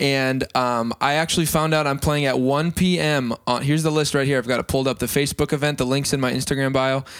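On a very clean recording with a silent background, a man with an American accent talks at a very fast pace with hardly any pauses, a fairly high pitch and very even loudness. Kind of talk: casual chat. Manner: excitable.

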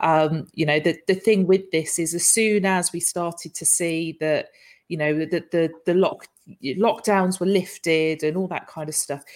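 With a normal speaking voice, a woman talks at a moderate pace in a fairly low pitch with fairly even intonation. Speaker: live show host. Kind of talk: casual live chat. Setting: live stream online. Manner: chatty, jokey.

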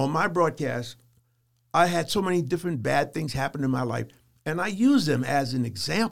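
Speaking with an American accent, a man uses lively intonation, vocal fry and a fairly high pitch at a fairly quick pace. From US South, Charleston, South Carolina. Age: 70s. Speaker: church elder and public access religious broadcaster, army veteran. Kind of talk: interview.

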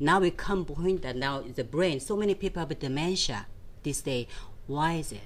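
Speaking at a moderate pace, a woman with a Korean accent has a very deep, low pitch, ordinary pitch variation and an animated tone. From South Korea, Seoul. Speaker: nutrition and fitness coach. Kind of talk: interview.

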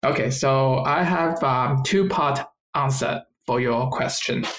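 Medium-pitched male speech with a Chinese accent, fairly slow and very even in loudness, with ordinary pitch variation. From China. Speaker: environmental science graduate, podcast co-host. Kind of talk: casual chat.

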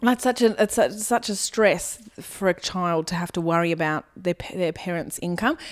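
A woman with an Australian accent speaks at a medium pitch and a moderate pace. She has ordinary pitch variation and hardly any pauses. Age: 30s. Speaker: comedian and former teacher. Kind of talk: casual chat.

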